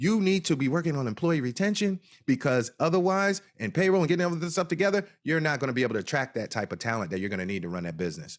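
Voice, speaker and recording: A man with a New Jersey accent, fairly high in pitch, talking very fast in an animated tone with very wide pitch swings, on a very clean recording with a silent background. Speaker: cannabis business consultant. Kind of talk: interview.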